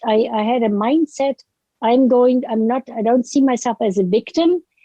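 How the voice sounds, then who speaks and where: A woman with a high pitch and a dark, mellow tone speaks at a moderate pace. Her pitch varies in an ordinary way, and the sound is dry and close with no echo. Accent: German. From Germany. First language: German. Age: 70s. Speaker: author. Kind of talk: interview. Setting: podcast. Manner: halting.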